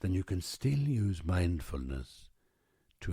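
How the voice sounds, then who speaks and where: A man speaks at a very slow pace with a very deep, low pitch that swings very widely, his tone dark, mellow and somewhat breathy. The recording is very clean with a silent background and a dry, close sound with no echo. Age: 60s. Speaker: podcaster. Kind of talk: reflective monologue.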